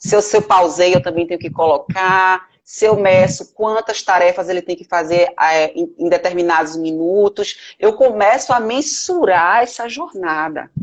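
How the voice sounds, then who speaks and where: With a normal speaking voice, a woman of medium pitch talks at a fairly slow pace, with hardly any pauses and ordinary pitch variation. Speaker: lawyer and management professor. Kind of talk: live web interview. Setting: Instagram live video call.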